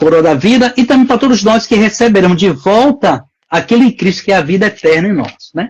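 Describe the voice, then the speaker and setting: A man speaks in a high voice with lively intonation. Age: 60s. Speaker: pastor. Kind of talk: religious talk show discussion.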